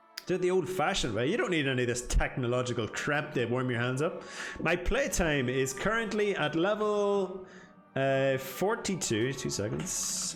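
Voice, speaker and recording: Music plays in the background as a man talks at a fairly high pitch. His pitch swings very widely, and audible room echo surrounds him. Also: moderate pace. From Northern Ireland. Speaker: video game streamer. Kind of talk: live gameplay stream chat. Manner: casual, chatty.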